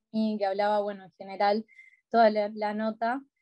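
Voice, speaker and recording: In a Rioplatense accent, a woman speaks at a moderate pace with a fairly high pitch, a dark, mellow tone and monotone, flat intonation, the sound dry and close with no echo. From Montevideo, Uruguay. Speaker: advocate for older people's rights. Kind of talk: interview answer. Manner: casual, conversational.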